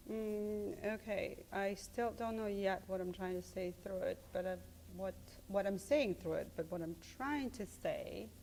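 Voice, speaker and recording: A woman speaks with a Serbian accent. Her pace is fairly slow. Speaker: art professor. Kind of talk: interview. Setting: studio. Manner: halting.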